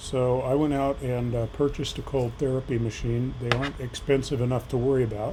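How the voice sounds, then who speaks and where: A man talks at a fairly quick pace with hardly any pauses, in a medium pitch. His intonation is monotone and flat, and there is noticeable background noise. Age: 60s. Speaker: patient sharing surgery experience. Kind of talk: personal vlog tutorial. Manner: halting, many fillers.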